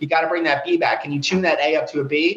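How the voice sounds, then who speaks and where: A man rattles along at a very fast pace while noticeable background noise carries on behind him. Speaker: rock band guitarist and songwriter. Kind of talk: casual interview.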